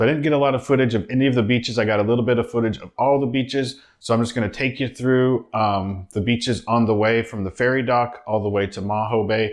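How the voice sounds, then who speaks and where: A man talks at a very fast pace with hardly any pauses. His intonation is fairly even, and the background is quiet. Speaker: travel vlogger. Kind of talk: casual vlog chat. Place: home room.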